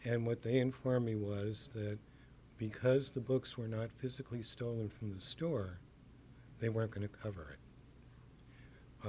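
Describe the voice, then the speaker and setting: A soft-spoken, somewhat breathy voice at a fairly slow pace, with fairly even intonation. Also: man. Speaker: bookstore owner. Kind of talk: interview answer.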